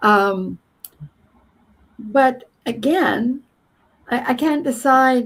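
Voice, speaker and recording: A woman speaks in a Canadian accent. Her voice is somewhat breathy. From Canada, southern Alberta. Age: 70s. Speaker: former journalist, astrology podcast host. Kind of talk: casual interview chat. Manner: halting, repeats words.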